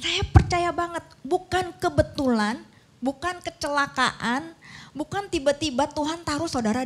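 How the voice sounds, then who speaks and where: A woman speaks with a slight Sundanese accent. Her pace is fairly slow. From Indonesia, Bandung (West Java). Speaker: pastor. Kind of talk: sermon.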